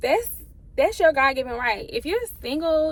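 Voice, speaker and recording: At a moderate pace, a woman talks in an animated tone with very wide pitch swings. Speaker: vlogger. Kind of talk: casual vlog monologue. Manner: halting, holding back tears.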